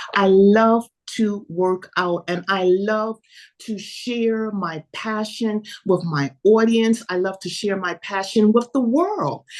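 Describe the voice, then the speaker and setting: The speaker has a New York accent and talks at a very slow pace. Pitch variation is ordinary. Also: woman, medium pitch for a woman. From New York City. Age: 70s. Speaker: fitness coach. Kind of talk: interview.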